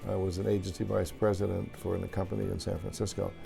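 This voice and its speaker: A man speaks with a very deep, low pitch. His pace is fairly quick, and music plays in the background. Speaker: stadium public address announcer. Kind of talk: interview answer.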